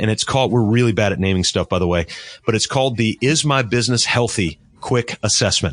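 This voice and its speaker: Very even in loudness, a man with an American accent and a medium pitch talks at a very fast pace with ordinary pitch variation. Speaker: business coach. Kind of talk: interview. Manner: soft-spoken.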